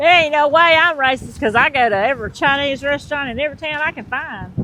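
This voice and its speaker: In a Southern accent, a woman projects a raised, high-pitched voice at a moderate pace. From US South, Georgia. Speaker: vlogger's partner. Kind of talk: casual chat. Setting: outdoors.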